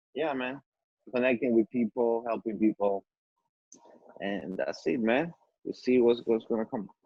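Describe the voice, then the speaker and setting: A man with an Ecuadorian accent talks at a moderate pace, leaving long, frequent pauses. His pitch sits in the medium range and varies in an ordinary way. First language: Spanish. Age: 40s. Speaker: musician. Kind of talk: casual chat. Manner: halting, many repetitions and fillers.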